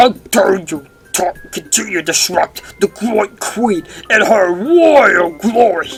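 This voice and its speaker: A put-on character voice speaks in a fairly high pitch. Music plays in the background. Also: fairly slow pace. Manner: regal, imperious.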